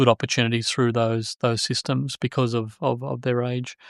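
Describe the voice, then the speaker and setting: A man with a medium pitch speaks with fairly even intonation, the sound dry and close with no echo against a quiet background. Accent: Australian. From Australia, New South Wales. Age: 50s. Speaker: joinery software businessman. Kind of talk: casual podcast interview. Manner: halting, many fillers.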